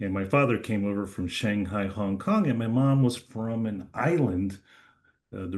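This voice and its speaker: A man speaks with a New Jersey accent at a moderate pace. His intonation is lively. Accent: American, New Jersey. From New Jersey, US. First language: Chinese. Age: 50s. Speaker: lawyer. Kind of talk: interview. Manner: hesitant, many fillers.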